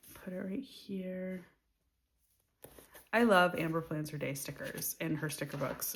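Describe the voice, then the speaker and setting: A woman with a fairly low pitch and a somewhat breathy voice speaks with long, frequent pauses. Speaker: planner vlogger. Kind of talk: casual chat. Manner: soft-spoken.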